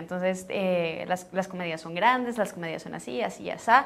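She speaks fairly quickly, her pitch varying in an ordinary way. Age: young. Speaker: actress. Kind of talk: press junket interview. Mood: warm, enthusiastic. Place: studio. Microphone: lapel.

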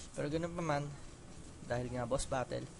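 Speaking at a moderate pace, a man holds a medium pitch. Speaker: gaming let's play commentator. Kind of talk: casual gameplay commentary. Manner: halting.

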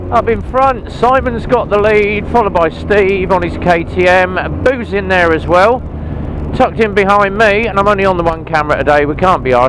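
A man talks at a fairly quick pace in a dry sound with no echo. Background noise is noticeable. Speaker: motorbike rider vlogger. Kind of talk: casual vlog chat. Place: motorbike. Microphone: helmet.

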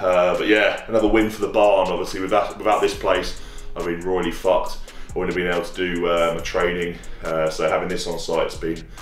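A man talks at a fairly quick pace amid audible room echo and faint music in the background. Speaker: strength athlete vlogger. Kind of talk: casual vlog chat. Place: gym.

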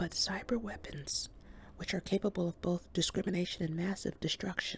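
At a moderate pace, a woman is whispering. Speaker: reader. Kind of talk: reading aloud from a book. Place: home room. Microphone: studio mic.

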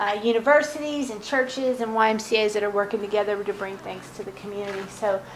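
A woman with a fairly high pitch and ordinary pitch variation speaks at a fairly quick pace with a slight Southern US accent. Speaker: consultant. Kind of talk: presentation.

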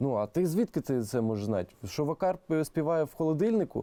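A man with a Russian accent talks at a moderate pace, his pitch swinging very widely. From Crimea, Kerch. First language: Russian (speaking Ukrainian). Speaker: music producer. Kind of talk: interview. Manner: halting.

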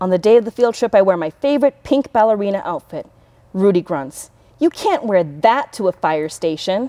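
The intonation rises and falls in a lively way. It is plain reading aloud.

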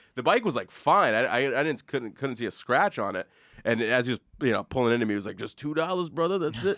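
A man's very fast speech with lively intonation against a quiet background. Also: dry sound with no echo. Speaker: comedy podcast host. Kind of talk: casual chat. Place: studio. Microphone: studio mic.

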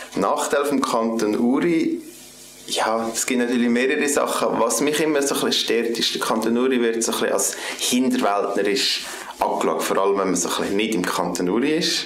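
Against light background noise and audible room echo, a man with a Swiss German accent talks at a fairly quick pace with medium pitch and ordinary pitch variation. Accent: Swiss German (Uri). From Switzerland (canton Uri). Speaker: political candidate. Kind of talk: campaign self-introduction. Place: office.

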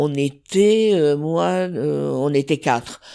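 A woman's very deep, low-pitched voice on a very clean recording with a silent background. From southern France. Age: 70s. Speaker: chef. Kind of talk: interview. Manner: halting.

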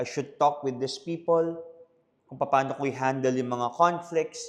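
A man's voice with fairly even intonation. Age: 30s. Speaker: pastor and podcast host. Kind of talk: casual Taglish podcast monologue.

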